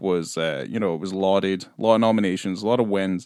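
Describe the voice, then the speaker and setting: Speaking with a Scottish accent, a man talks at a fairly low pitch and a fairly quick pace with ordinary pitch variation, on a very clean recording with a silent background. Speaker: film podcast host. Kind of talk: casual chat.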